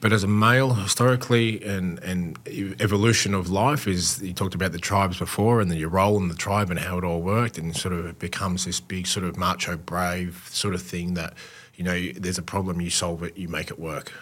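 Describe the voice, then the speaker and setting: In an Australian accent, the speaker talks at a fairly quick pace with fairly even intonation. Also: man, very deep, low pitch for a man. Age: 40s. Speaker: former pro footballer, mental health advocate. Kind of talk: casual interview.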